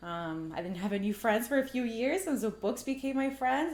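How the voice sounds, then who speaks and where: With a Spanish accent, a woman speaks at a moderate pace and with ordinary pitch variation, audible room echo around her. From Mexico, moved to Canada at eight. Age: 30s. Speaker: artist and filmmaker. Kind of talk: casual interview conversation. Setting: at her home.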